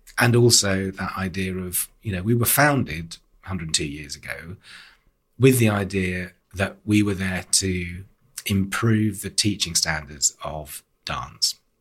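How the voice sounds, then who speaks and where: A man speaks very slowly with a very deep, low pitch and ordinary pitch variation. His voice is somewhat breathy. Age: 50s. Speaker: arts organisation chief executive. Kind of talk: interview. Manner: animated.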